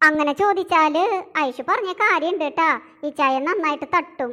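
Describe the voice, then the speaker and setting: A woman's squeaky, cartoonish character voice, extremely high in pitch, with ordinary pitch variation at a moderate pace. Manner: chatty.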